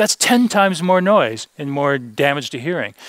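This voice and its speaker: In an American accent, a man speaks at a moderate pace with lively intonation and an ordinary speaking voice. The sound is dry and close, with no echo. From US, San Diego, California. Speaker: audiologist, hearing conservation speaker. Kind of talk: seminar presentation. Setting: seminar room with audience, filmed.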